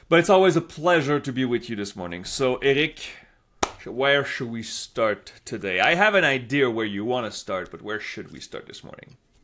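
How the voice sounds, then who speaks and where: On a very clean recording with a silent background, a man with a Quebec accent speaks at a moderate pace and medium pitch, his bright, sharp tone marked by very wide pitch swings and big swings in loudness. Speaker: political polling analyst, co-host; teacher at a school. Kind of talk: casual political analysis chat.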